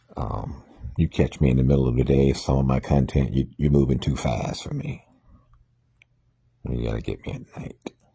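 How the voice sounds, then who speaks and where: Soft-spoken, a man with a very deep, low pitch talks at a moderate pace in monotone, flat intonation, with long, frequent pauses. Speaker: minister sharing morning reflections. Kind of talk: informal talk monologue. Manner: soft, laid back; halting with fillers.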